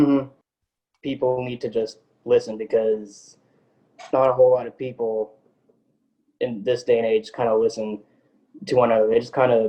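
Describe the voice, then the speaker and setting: With a Texan accent, a man speaks at a medium pitch and moderate pace in a dark, mellow tone, his intonation fairly even and his speech marked by long, frequent pauses. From Texas (Tyler). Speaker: podcaster, interview guest. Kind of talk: casual interview chat.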